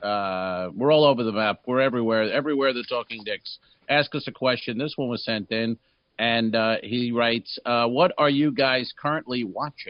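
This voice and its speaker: The speaker has an ordinary speaking voice, with ordinary pitch variation and a moderate pace. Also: man, medium pitch for a man. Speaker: comedy podcast co-host. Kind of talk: casual chat.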